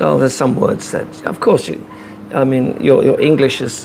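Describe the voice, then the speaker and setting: Noticeable background noise accompanies a man talking with an American accent. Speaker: vlogger. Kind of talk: casual chat. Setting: live stream.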